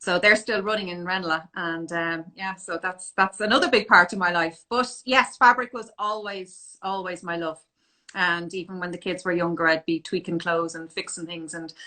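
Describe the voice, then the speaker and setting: A woman with a Dublin accent speaks in a fairly low voice with ordinary pitch variation. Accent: Dublin Irish. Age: 40s. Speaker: fashion business owner and image consultant. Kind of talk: interview on a live stream.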